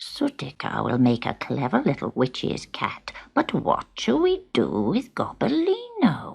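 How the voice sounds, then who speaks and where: A put-on character voice moves at a fairly slow pace with hardly any pauses. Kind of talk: storybook witch voice. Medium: read story.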